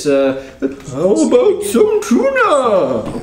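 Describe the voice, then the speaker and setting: Put-on character voice from a man, with slight echo and light background noise. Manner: cat voice asking for tuna.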